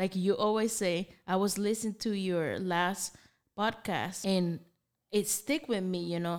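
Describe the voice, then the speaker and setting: Here a woman with a Spanish accent speaks at a fairly slow pace. The recording is very clean, with a silent background. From Nicaragua. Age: 30s. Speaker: coffee business owner. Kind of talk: casual interview.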